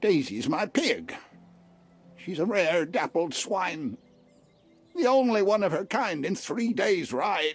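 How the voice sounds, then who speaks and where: Someone in a put-on character voice speaks at a middle pitch and a fairly slow pace, leaving long, frequent pauses while faint music plays behind. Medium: video game. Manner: hesitant, emotional.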